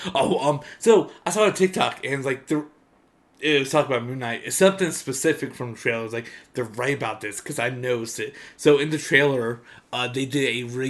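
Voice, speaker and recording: A man talks in an animated tone at a fairly quick pace. His pitch sits in the medium range. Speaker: podcast co-host. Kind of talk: casual chat.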